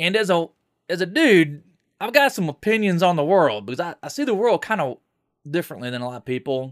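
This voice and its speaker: A man with a high pitch talks at a fairly quick pace with very wide pitch swings, in a very clean recording with a silent background and a dry, close sound with no echo. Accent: American. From Florida, Tallahassee. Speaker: podcast host. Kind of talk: solo opinion monologue. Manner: casual, conversational.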